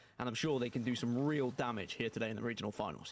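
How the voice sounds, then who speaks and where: A man with a British accent, talking at a very fast pace. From Britain. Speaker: esports caster. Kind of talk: live commentary.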